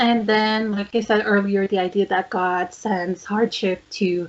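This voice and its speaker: With a French accent, a woman speaks at a fairly slow pace in a medium pitch and a monotone, flat intonation. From Quebec. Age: 20s. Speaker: podcast co-host. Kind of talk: casual chat.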